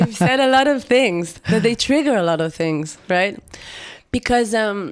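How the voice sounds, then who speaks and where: A woman with an Israeli accent speaks at a fairly slow pace, her fairly high pitch carried by lively intonation. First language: Hebrew. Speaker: singer-songwriter. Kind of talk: interview. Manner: halting.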